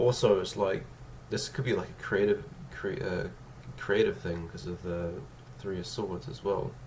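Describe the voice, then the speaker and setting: Lively intonation and big swings in loudness mark this man's speech, delivered at a moderate pace over noticeable background noise. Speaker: tarot card reader. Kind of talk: tarot reading to camera.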